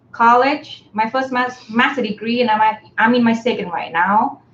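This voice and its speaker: The speaker uses fairly even intonation at a moderate pace in a Vietnamese accent. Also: woman. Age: 30s. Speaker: graduate student and campaign volunteer. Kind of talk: casual live stream chat. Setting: live stream, in person together. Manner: hesitant, many fillers.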